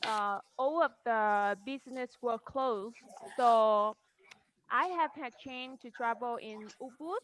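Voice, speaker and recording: Very slow speech with a Vietnamese accent, ordinary pitch variation and big swings in loudness. The sound is dry and close, with no echo. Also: woman, high pitch for a woman. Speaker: model. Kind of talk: online panel discussion. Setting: video call. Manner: halting. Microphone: poor internet connection.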